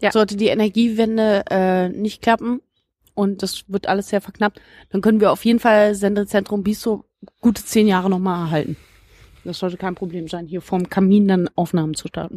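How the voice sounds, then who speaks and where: A woman talks at a moderate pace in a dark, mellow tone of medium pitch, with fairly even intonation. The recording is very clean, with a silent background and a dry, close sound with no echo. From Berlin (Biesdorf, Marzahn). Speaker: podcast host. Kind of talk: casual chat. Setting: outdoors in a garden.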